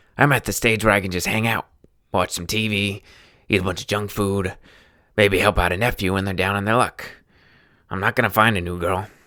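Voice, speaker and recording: A raspy, put-on character voice at a fairly quick pace, in a very clean recording with a silent background. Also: man. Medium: read story. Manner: casual, folksy.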